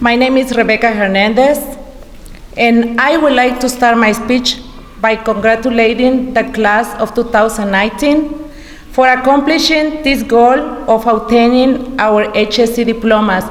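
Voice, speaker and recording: The speaker has a Mexican accent and fairly even intonation. Audible room echo and noticeable background noise are present. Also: woman, fairly high pitch for a woman, moderate pace. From Mexico, Quintana Roo. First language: Spanish. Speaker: adult education graduate. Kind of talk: graduation speech.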